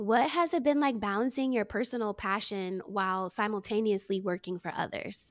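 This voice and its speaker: With an American accent and a fairly high pitch, a woman talks at a moderate pace with hardly any pauses in an unremarkable speaking voice, recorded very cleanly against a silent background. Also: ordinary pitch variation. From New Jersey, US. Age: 30s. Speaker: podcast host. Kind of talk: casual interview chat; scripted introduction.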